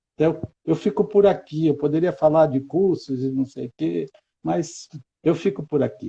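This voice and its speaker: With a dark, mellow tone, a man speaks at a fairly high pitch and moderate pace, using ordinary pitch variation. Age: 60s. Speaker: educator. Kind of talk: interview.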